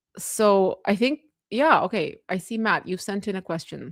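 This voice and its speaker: A woman's fairly high voice with lively intonation, on a very clean recording with a silent background. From Moldova, then Canada from childhood. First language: Russian. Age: 40s. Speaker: political commentator streamer. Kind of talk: live stream chat. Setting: live stream. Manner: casual, halting with fillers.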